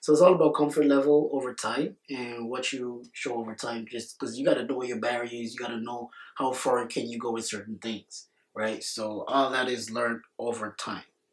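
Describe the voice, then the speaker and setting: With an Anguillian accent, a man talks at a fairly quick pace in a medium pitch, his intonation fairly even and his loudness swinging widely. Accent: Caribbean (Anguillian) English. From Anguilla. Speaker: podcast co-host. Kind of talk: casual chat. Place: studio.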